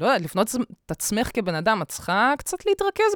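The recording is very clean over a silent background. A woman talks in an animated tone. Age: 20s. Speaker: podcast host. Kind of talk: casual chat. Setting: home studio. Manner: loud.

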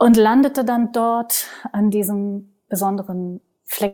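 This woman's voice sits fairly high in pitch and carries a dark, mellow tone. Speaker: naturopath and body therapist, yoga practitioner. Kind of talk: interview conversation. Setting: at home in her living room.

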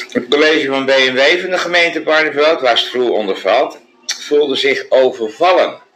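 The speaker is a man talking at a moderate pace. Noticeable background noise sits behind him. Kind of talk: casual chat. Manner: hesitant, many uh's.

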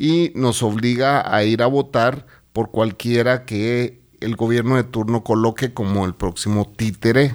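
A man with an ordinary speaking voice talks fairly slowly at a medium pitch with fairly even intonation, recorded very cleanly against a silent background. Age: 50s. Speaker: podcast host. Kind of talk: casual chat.

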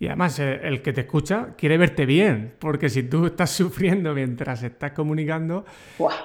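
With a Murcian accent, a man talks at a moderate pace. His pitch is fairly high, with ordinary variation. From Murcia, Spain. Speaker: podcast host, educator. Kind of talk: interview.

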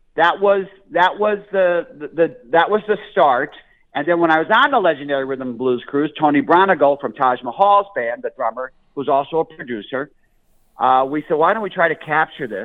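Speaking with a Northeastern US accent, a man uses lively intonation at a fairly high pitch. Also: moderate pace. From Scranton, Pennsylvania. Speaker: blues musician and comedian. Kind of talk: interview. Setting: phone call.

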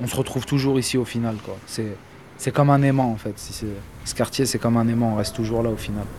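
A man speaks at a medium pitch and a fairly quick pace, with fairly even intonation. He has a plain, everyday voice. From Angoulême area, France.

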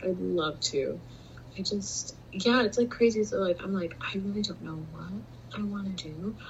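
A moderate pace with noticeable background noise. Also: woman. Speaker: podcast co-host, college student. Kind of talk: casual chat. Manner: animated.

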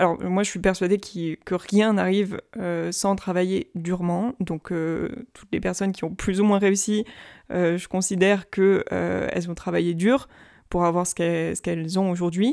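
In a very clean recording with a silent background, a woman with a dark, mellow tone and medium pitch speaks at a fairly slow pace. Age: 20s. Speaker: podcast host. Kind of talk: solo casual monologue. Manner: casual, filler-heavy.

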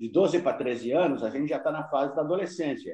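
A man's fairly high-pitched voice. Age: 60s. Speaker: amateur photographer. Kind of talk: interview.

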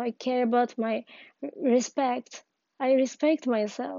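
In a non-native accent, a woman speaks very slowly in a high voice with fairly even intonation. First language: not English. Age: 20s. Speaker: podcaster. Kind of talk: personal monologue. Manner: halting.

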